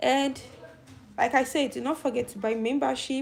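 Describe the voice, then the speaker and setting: Over noticeable background noise, a woman speaks at a high pitch and a moderate pace. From Nigeria. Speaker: YouTube commentator. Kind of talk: live stream chat.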